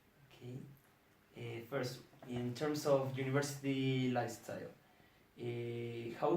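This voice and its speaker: Noticeable background noise and audible room echo fill the recording. A man speaks at a medium pitch with fairly even intonation. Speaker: student interviewer. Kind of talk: interview.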